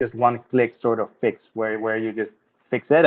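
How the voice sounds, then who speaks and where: In a Dutch accent, a man talks at a fairly quick pace with monotone, flat intonation. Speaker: tech project team member. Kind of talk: community video call.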